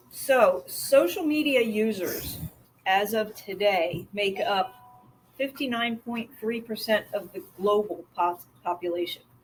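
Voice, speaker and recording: A woman talks at a medium pitch with lively intonation. She has an ordinary speaking voice. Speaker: marketing partner at a mortgage firm. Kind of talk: presentation.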